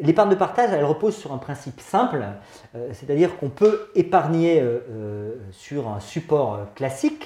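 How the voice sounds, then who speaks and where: A man with a fairly high pitch talks at a moderate pace, with long, frequent pauses. His pitch swings very widely, and his loudness rises and falls a lot. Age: 50s. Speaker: head of a finance association. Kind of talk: interview. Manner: hesitant, many filler sounds.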